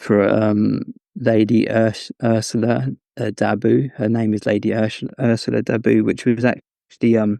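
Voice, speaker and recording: A man's fairly low, dark and mellow voice with an English accent, fairly even intonation, a fairly slow pace, and a dry, close sound with no echo. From England (Cambridge). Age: 30s. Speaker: scholar. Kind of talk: interview conversation. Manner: halting, many fillers.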